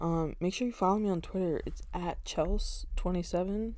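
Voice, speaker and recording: A woman talks at a fairly slow pace, with audible room echo around her voice. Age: 20s. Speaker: sports podcast host. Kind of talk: solo podcast monologue. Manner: casual, conversational.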